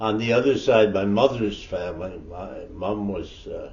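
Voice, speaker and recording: A somewhat breathy voice with ordinary pitch variation is heard with audible room echo. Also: man. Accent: Ontario. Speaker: elder storyteller. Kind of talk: oral history storytelling. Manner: halting, with false starts.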